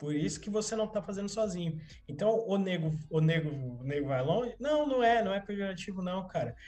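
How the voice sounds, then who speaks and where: Music plays in the background as a man talks at a fairly quick pace. His pitch is high for a man, with lively intonation. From São Paulo, Capão Redondo (South Zone). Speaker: community activist. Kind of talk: casual chat. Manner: halting, repeats words.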